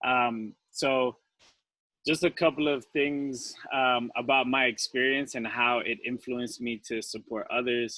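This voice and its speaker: Against a quiet background, a man speaks at a medium pitch and a fairly slow pace with fairly even intonation, his tone bright and sharp and the sound dry and close with no echo. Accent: strong Colombian. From Colombia. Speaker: returned Peace Corps volunteer, panelist. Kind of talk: panel discussion.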